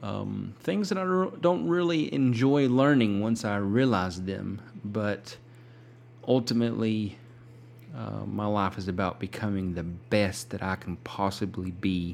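Speaking fairly slowly, a man uses lively intonation at a fairly low pitch. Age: 30s. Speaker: podcast host. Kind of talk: casual monologue. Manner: halting.

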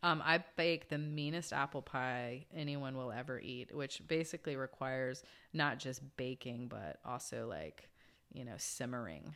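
In a very clean recording with a silent background, a woman with an American accent speaks very deep and low at a fairly slow pace. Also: ordinary pitch variation. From US, Georgia. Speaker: cannabis investor. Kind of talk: casual interview.

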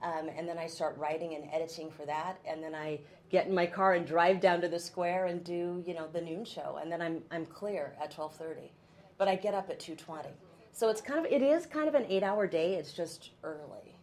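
A woman with a fairly low pitch, fairly even intonation and a moderate pace. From Oregon, US Pacific Northwest. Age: 50s. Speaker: TV news anchor. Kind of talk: casual chat.

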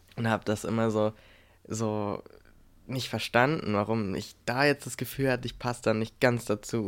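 A normal speaking voice from a man, medium in pitch with fairly even intonation at a moderate pace, on a very clean recording with a silent background. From Brandenburg, Germany. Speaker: podcast co-host. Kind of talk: casual chat.

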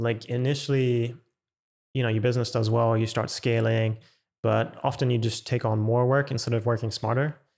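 A man speaks with a German accent at a moderate pace, in a flat, monotone intonation with very even loudness. The recording is very clean, with a silent background. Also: medium pitch for a man. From Germany. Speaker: music producer. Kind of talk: casual interview.

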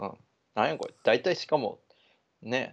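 A man with vocal fry talks at a moderate pace over a quiet background. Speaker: podcast co-host. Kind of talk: casual chat.

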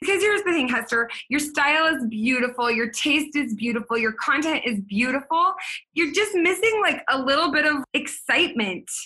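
Animated and lively in intonation, a woman projects a raised, high voice with a bright, sharp tone and very even loudness. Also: moderate pace. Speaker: podcast host and business coach. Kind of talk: casual interview chat.

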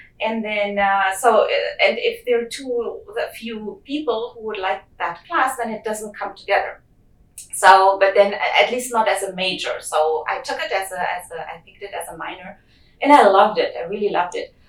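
Over noticeable background noise, a woman speaks at a moderate pace with a fairly high pitch and big swings in loudness. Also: ordinary pitch variation. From Germany. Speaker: geochemist. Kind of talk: interview.

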